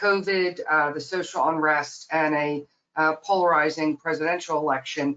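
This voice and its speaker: At a fairly slow pace comes a plain, everyday voice with fairly even intonation. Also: woman. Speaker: nonprofit president. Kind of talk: webinar presentation. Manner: many fillers, um and uh.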